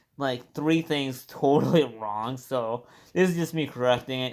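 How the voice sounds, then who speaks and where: This is a man with a medium pitch and ordinary pitch variation. The recording is very clean, with a silent background. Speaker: car enthusiast vlogger. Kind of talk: casual video walkaround. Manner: fast.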